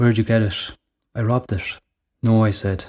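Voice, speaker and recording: A man's fairly low, somewhat breathy voice with an Irish accent, monotone and flat, at a fairly quick pace, in a very clean recording with a silent background. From Ireland, Tipperary. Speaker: writer. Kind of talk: short story reading.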